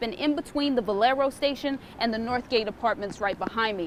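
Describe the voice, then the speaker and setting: A woman talks at a fairly quick pace in a high pitch. Her pitch variation is ordinary. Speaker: TV news reporter. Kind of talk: TV news reporter stand-up and package narration.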